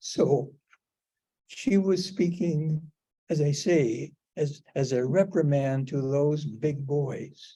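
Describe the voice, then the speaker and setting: At a very slow pace with long, frequent pauses, a man speaks in a dark, mellow, somewhat breathy tone at a fairly high pitch, with ordinary pitch variation. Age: 80s+. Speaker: cancer patient speaking on death and dying. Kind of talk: personal talk to a group. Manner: halting.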